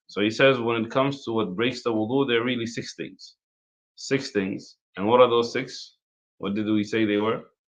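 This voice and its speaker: In an ordinary speaking voice, a man talks at a moderate pace with fairly even intonation against a quiet background. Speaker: imam teaching an Islamic law class. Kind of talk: religious lecture.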